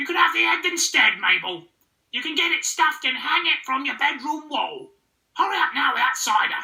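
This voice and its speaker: The speaker puts on a character voice pitched high. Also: moderate pace. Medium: read story. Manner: bossy.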